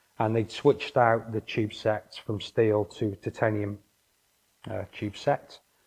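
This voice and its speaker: A man talks in a Welsh accent. His voice is fairly low in pitch and somewhat breathy. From North Wales. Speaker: engineering consultant. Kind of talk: interview. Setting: office. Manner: halting.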